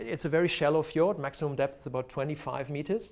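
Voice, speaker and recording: This man speaks with a German accent. His pitch is fairly high, with ordinary variation. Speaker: marine biologist and research diver. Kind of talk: lecture. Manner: halting.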